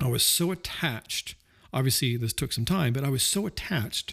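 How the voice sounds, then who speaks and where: Somewhat breathy delivery with an American accent and lively intonation, on a very clean recording with a silent background. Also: man. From Southwest Missouri. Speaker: podcast host. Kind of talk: casual monologue. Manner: halting, many fillers and repeats.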